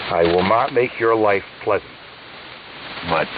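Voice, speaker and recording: A man's voice over noticeable background noise. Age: 70s. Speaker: ham radio operator. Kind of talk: casual chat. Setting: radio call. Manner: halting, many fillers.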